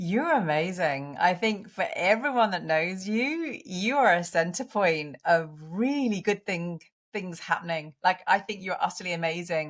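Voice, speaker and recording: In a strong British accent, the speaker goes at a fairly slow pace with lively intonation and hardly any pauses. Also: woman, medium pitch for a woman. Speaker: women's coach and author. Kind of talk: interview podcast.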